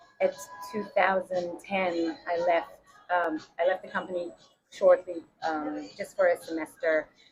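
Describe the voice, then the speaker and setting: Over music in the background, a woman speaks at a very slow pace with a fairly low pitch and long, frequent pauses. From Israel. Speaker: brewing company founder. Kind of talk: interview. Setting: in person at a craft beer shop. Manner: hesitant, many fillers.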